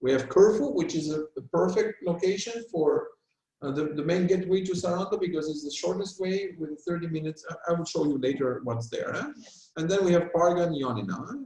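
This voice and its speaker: With ordinary pitch variation, a man talks at a high pitch and a fairly quick pace. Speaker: travel company presenter. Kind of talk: business presentation. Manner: fast.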